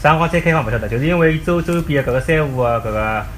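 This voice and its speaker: Over noticeable background noise, a man talks very fast in a medium pitch. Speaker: parent podcaster. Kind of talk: casual chat. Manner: animated.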